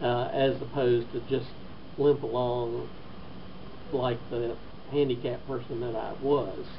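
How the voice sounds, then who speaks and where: Flat and monotone, a man speaks at medium pitch and a fairly slow pace, with long, frequent pauses. Noticeable background noise and audible room echo surround him. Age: 60s. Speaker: stroke patient. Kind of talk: testimony. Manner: halting.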